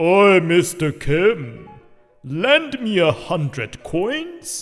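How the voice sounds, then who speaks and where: A man speaks very slowly in a high, put-on character voice. Music plays in the background. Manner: demanding.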